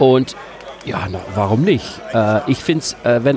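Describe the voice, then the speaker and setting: Noticeable background noise runs under the recording. The speaker is a man with a medium pitch. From Netherlands, Amsterdam. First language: Dutch (speaking German). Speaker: games vendor. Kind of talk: casual interview. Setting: convention stand.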